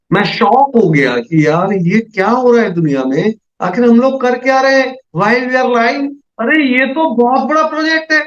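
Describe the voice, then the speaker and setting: This man's voice is extremely high-pitched, with lively intonation. He keeps a moderate pace and very even loudness. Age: 60s. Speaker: MLM business presenter. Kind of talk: sales pitch. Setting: video call. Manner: animated.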